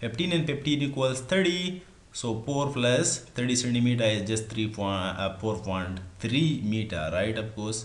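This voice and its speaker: A man with a medium pitch and a somewhat breathy voice talks at a fairly slow pace with hardly any pauses. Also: lively intonation. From Pakistan. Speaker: engineering tutor on a video channel. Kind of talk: tutorial. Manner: halting, many fillers.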